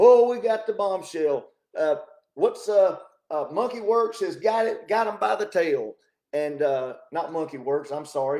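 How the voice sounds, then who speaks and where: Loud, lively intonation from a man, high in pitch, dark and mellow in tone, at a fairly slow pace. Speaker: talk show host. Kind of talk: casual political commentary monologue. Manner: animated.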